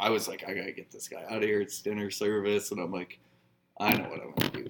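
A man speaks with a Canadian Prairies accent. His pitch sits fairly low. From northern Saskatchewan, Canada. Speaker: bar manager. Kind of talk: casual chat.

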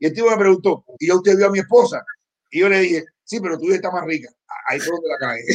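A man talks at a very fast pace in a high pitch, with ordinary pitch variation. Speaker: co-host of political talk stream. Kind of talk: casual chat. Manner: animated.

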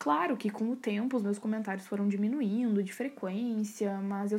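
A woman's somewhat breathy voice with a fairly high pitch. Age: 20s. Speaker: psychology student. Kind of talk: recorded class assignment podcast. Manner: casual, chatty.

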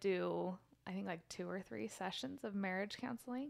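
An unremarkable speaking voice from a woman with an American accent, medium in pitch, at a moderate pace. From Utah. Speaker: guest, mother of three. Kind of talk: casual conversation. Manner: laughs often.

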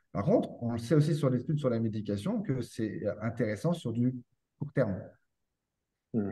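A somewhat breathy man's voice in a dark, mellow tone, medium pitch, ordinary pitch variation, at a fairly quick pace. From France. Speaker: posturology and neurotherapy practitioner for children. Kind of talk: interview conversation.

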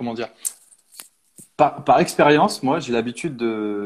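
With medium pitch and ordinary pitch variation, a man speaks in an ordinary speaking voice. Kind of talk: casual chat. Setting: video call.

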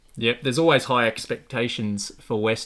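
A man talks at a moderate pace in a normal speaking voice. His pitch varies in an ordinary way. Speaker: podcast host. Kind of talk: casual interview chat.

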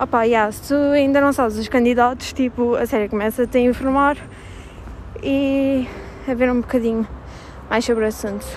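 A woman speaks at a moderate pace in a high voice with a European Portuguese accent. Her intonation stays fairly even over noticeable background noise. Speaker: podcaster. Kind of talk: casual monologue. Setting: walking while recording. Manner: hesitant, many fillers.

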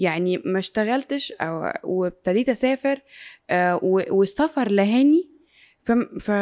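A dark, mellow voice with lively intonation moves at a fairly slow pace with long, frequent pauses, recorded very cleanly against a silent background in a dry, close sound with no echo. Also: woman, fairly high pitch for a woman. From Egypt. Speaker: sports radio and TV presenter. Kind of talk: casual interview chat.

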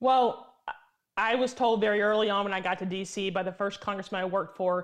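A woman's ordinary speaking voice with an American accent, medium in pitch, ordinary pitch variation, a fairly quick pace and a quiet background. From Tennessee, US. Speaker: lobbyist. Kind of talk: interview. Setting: remote call from D.C.

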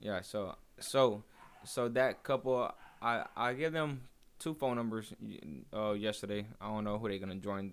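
Here a man speaks at a moderate pace with a fairly low pitch. His pitch variation is ordinary, and the recording is very clean with a silent background. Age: 30s. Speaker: MMA fighter. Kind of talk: casual chat. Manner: halting, repeats words.

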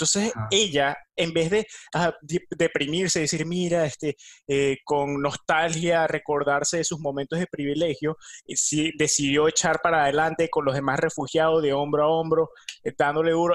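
A man's unremarkable speaking voice, pitched fairly high, with fairly even intonation and a moderate pace. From Venezuela. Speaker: podcast co-host. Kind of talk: casual chat.

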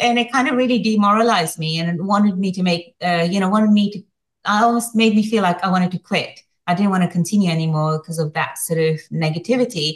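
Somewhat breathy, a woman's voice moves at a very fast pace. Her pitch varies in an ordinary way. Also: medium pitch for a woman. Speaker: competitive chili eater. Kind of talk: interview.

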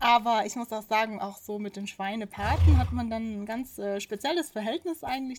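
Her voice has a somewhat breathy quality. The woman keeps to a medium pitch and a moderate tempo. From South Tyrol, Italy (Pfitsch valley). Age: 30s. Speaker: farmer. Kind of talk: interview. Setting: on a farm.

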